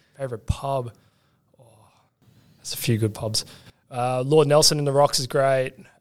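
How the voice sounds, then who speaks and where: A man with an Australian accent speaks at a moderate pace with fairly even intonation and long, frequent pauses. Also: medium pitch for a man. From Australia, western Sydney. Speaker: product manager. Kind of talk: casual chat.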